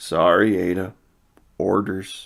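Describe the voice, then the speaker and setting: A man puts on a rumbling character voice. It sits at a fairly low pitch. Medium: read story. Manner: simple, good-natured.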